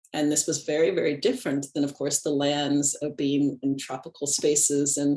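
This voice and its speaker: Against a quiet background, a woman speaks in a very deep, low pitch. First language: Japanese. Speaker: animist ritualist and ancestral guide. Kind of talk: interview conversation.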